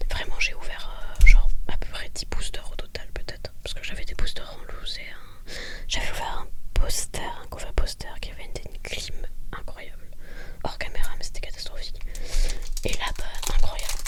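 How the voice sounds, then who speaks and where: A woman's soft-spoken whisper at a moderate pace, with long, frequent pauses, big swings in loudness and noticeable background noise. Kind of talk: ASMR card pack opening. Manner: soft-spoken, whispered.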